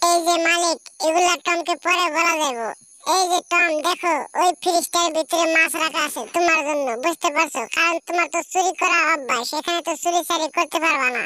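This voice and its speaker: A squeaky, cartoonish character voice at an extremely high pitch and a moderate pace. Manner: lecturing, repeats "understand?".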